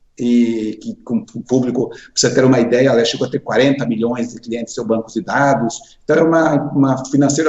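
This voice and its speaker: A man is speaking, with noticeable background noise behind him. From Brazil, interior of Paraná. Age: 60s. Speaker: finance executive, association president. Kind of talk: interview. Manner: halting, with self-corrections.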